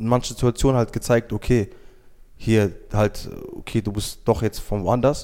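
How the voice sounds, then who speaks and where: Here a man with a dark, mellow tone and medium pitch talks at a moderate pace with fairly even intonation. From Germany, Wiesbaden (Somali family). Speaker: youth program participant. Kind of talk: casual interview.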